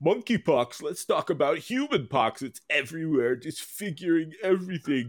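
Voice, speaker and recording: A man puts on a character voice, fairly high in pitch, with hardly any pauses. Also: moderate pace. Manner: comedic, mock-complaining.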